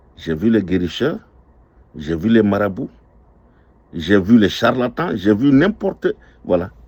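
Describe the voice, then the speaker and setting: His pitch leaps across a very wide range. This man's fairly slow speech carries vocal fry. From Ivory Coast. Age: 60s. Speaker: restaurant owner. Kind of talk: testimony.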